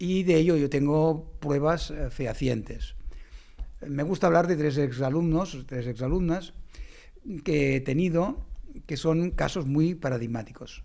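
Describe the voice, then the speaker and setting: A man's dark, mellow tone comes through as he talks at a fairly slow pace. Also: fairly high pitch for a man, ordinary pitch variation. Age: 60s. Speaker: mathematics professor and educator. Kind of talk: conversational podcast interview.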